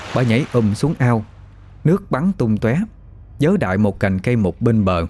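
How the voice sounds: The clip features a natural reading voice. It is read aloud.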